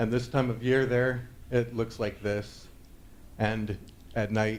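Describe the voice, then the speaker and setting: With an American accent, a man speaks at a moderate pace in a monotone, flat intonation, and audible room echo surrounds his voice. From northern California, Sierra Nevada foothills. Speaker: conference speaker, Drupal developer. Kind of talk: conference talk. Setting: stage with audience. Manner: hesitant, many fillers.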